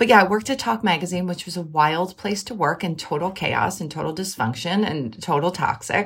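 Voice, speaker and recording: A woman with a fairly low pitch talks at a fairly quick pace with lively intonation and hardly any pauses. Noticeable background noise runs underneath. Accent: American. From Philadelphia, US. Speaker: writer and editor, podcast host. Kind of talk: casual interview chat.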